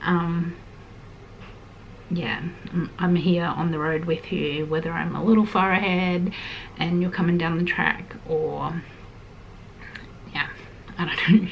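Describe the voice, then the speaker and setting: Soft-spoken and fairly slow, a woman with an Australian accent talks in a fairly low, monotone, flat voice with long, frequent pauses over noticeable background noise. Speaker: lifestyle vlogger. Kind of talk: heart-to-heart vlog chat. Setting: at home in small house.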